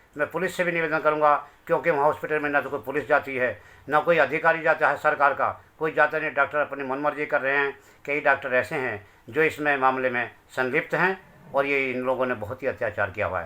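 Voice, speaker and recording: Fairly high-pitched for a man, this voice has a bright, sharp tone. He keeps a moderate pace and fairly even intonation. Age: 60s. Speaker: grieving father. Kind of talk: testimony. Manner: pleading.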